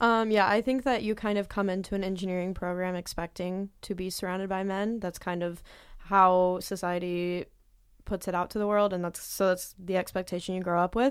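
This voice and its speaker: At a fairly quick pace, a woman with an American accent and an ordinary speaking voice keeps a medium pitch and fairly even intonation on a very clean recording with a silent background. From Southwest Indiana. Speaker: engineering student. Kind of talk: panel interview.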